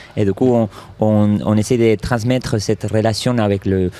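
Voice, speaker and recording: A man with a fairly low voice and a slight Argentine accent speaks at a moderate pace. His intonation is fairly even, and there is noticeable background noise. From Argentina. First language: Spanish (speaking French). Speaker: circus artist and stuntman. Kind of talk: interview. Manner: halting.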